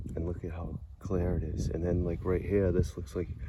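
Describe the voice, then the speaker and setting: A man with a Massachusetts accent, very deep and low in pitch, with ordinary pitch variation, audible room echo and noticeable background noise. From Massachusetts, US. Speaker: video blogger and songwriter. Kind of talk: walking vlog narration. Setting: outdoors in a cemetery. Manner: casual, rambling with self-corrections.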